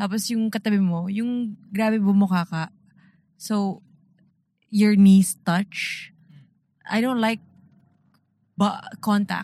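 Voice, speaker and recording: A woman's somewhat breathy voice at a fairly slow pace, in a very clean recording with a silent background. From Philippines, Antipolo. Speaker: podcast co-host. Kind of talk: casual chat. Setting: in a car.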